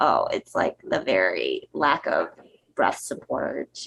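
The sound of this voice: A man does a put-on character voice, raspy and at a fairly slow pace.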